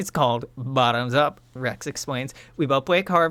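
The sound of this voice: An unforced reading voice carries the text, with ordinary pitch variation.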